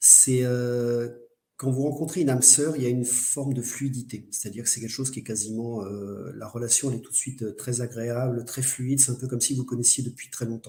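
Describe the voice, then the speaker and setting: Speaking at a fairly quick pace, a man has a somewhat breathy, dark, mellow tone. His intonation stays monotone and flat. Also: medium pitch for a man. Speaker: medium and spiritual speaker. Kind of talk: online lecture. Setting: live webinar. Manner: fast.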